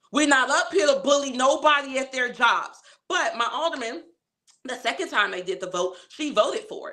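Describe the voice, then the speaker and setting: A woman's raised, projected voice rings out high-pitched with a bright, sharp, animated tone, very wide pitch swings and big swings in loudness. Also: moderate pace. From Chicago, West Side (Austin). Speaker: community activist, livestream host. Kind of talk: casual livestream talk. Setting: livestream.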